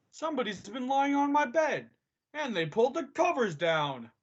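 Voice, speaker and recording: The speaker uses a put-on character voice with a high pitch. The pace is moderate. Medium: stage play.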